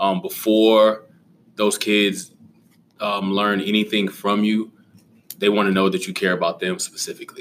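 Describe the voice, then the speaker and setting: A man speaks with a fairly low pitch and fairly even intonation. Long pauses come often. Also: moderate pace. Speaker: high school teacher and basketball coach. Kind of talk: casual interview chat. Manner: hesitant with fillers.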